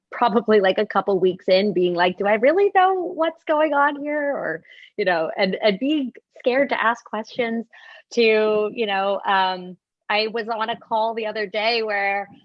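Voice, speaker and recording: The speaker is a woman with lively intonation. Her pace is fairly slow. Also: fairly high pitch for a woman. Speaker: corporate senior leader. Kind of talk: panel discussion. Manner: loud.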